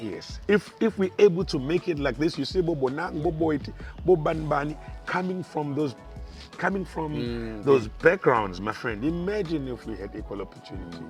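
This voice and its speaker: Music plays in the background while the voice swings widely in loudness. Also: man, moderate pace. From South Africa. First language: isiZulu. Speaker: stand-up comedian and radio presenter. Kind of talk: interview answer.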